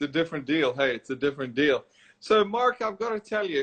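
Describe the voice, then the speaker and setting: A man speaks with an American accent and a high pitch. His intonation is lively. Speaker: golf instructor and show host. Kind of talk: interview. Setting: live video call.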